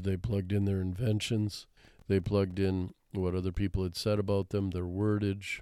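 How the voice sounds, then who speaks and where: A man with an American accent, very deep, low pitch, a dark, mellow tone and monotone, flat intonation, in a very clean recording with a silent background. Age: 70s. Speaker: retired English professor. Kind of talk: interview.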